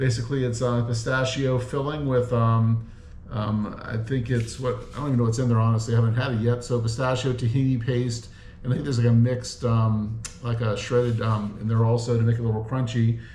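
Monotone, flat intonation from a man at a fairly quick pace, with audible room echo and light background noise. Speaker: food reviewer. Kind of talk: casual vlog chat. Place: home room. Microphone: camera far.

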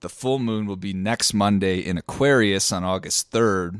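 A man speaks in an ordinary speaking voice, fairly low in pitch with ordinary pitch variation, at a fairly slow pace. The sound is dry with no echo over a quiet background. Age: 30s. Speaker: podcast co-host and musician. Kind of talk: casual chat. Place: home room. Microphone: studio mic.

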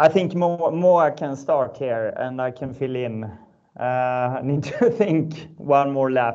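A man speaks with a Swedish accent at a fairly high pitch, with a dark, mellow tone and ordinary pitch variation. His pace is very slow, against a quiet background. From northern Sweden. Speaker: startup founder and ex-pro cyclist. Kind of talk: webinar panel discussion. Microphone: video call.

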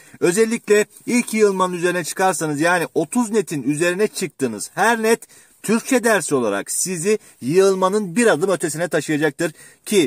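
Very wide pitch swings run through this moderately paced voice, recorded dry with no echo against a quiet background. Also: man. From Turkey, Manisa (Kırkağaç); Manisa, Turkey. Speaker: exam prep teacher (Turkish and literature); exam prep teacher. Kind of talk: educational vlog talk. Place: car. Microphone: phone near.

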